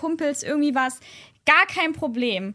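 A woman uses a raised, projected voice with a bright, sharp tone, speaking at a fairly slow pace. The recording is very clean, with a silent background. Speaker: podcast guest. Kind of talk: casual chat. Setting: at a host's home. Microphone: not close to the microphone.

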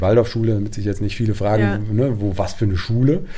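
A man at medium pitch speaks with fairly even intonation. Audible room echo and noticeable background noise fill the recording. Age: 40s. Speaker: carpet manufacturer. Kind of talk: interview. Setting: on location at a rural workshop.

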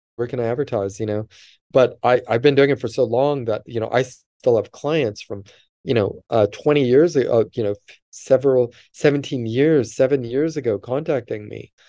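Over a quiet background, a man with a Californian accent talks at a moderate pace in a dark, mellow tone, his medium pitch showing ordinary variation. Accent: Californian American English. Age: 50s. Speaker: vedic astrologer. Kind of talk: interview.

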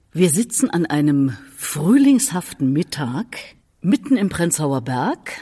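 Her voice is dark, mellow and somewhat breathy. The woman's pitch swings very widely. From Erfurt, Thuringia. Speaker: podcast host. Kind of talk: interview. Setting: cultural centre venue.

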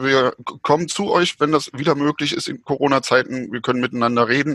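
At a moderate pace, a man speaks in a bright, sharp tone with ordinary pitch variation, the sound dry and close with no echo. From East Germany. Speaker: historian. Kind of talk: casual chat. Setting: video call. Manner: hesitant, many fillers.

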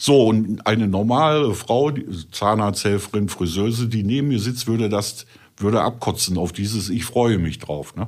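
A man's fairly low voice with ordinary pitch variation, a Ruhr accent and a moderate pace. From Ruhr area, Germany. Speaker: adult film performer. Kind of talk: casual chat.

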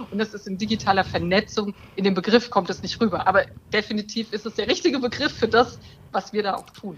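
Somewhat breathy and fairly high in pitch, a woman talks at a very fast pace with fairly even intonation and big swings in loudness. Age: 40s. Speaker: breast cancer survivor, online community co-founder. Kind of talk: podcast interview.

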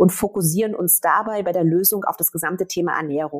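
Speaking at a moderate pace, a woman with an unremarkable speaking voice uses lively intonation. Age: 40s. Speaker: startup founder. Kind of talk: interview.

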